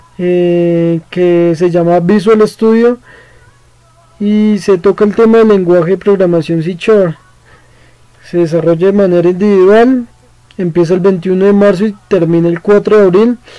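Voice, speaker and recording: High-pitched for a man, this male voice keeps fairly even intonation, leaving long, frequent pauses while music plays in the background. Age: 20s. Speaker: student. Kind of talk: course presentation. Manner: halting, with fillers.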